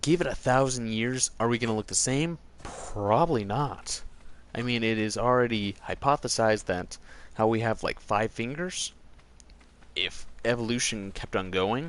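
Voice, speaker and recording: Here is a man with an ordinary speaking voice at medium pitch. He keeps a moderate pace and ordinary pitch variation. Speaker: gaming streamer. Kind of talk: live gameplay stream chat.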